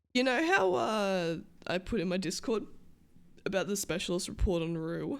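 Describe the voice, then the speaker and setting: The speaker has an Australian accent. Long, frequent pauses fill the speech. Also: woman, medium pitch for a woman, lively intonation, moderate pace. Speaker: streamer playing a roleplay character. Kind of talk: casual livestream chat.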